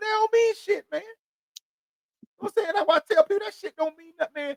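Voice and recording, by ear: Ordinary pitch variation in a dry, close sound with no echo. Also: man.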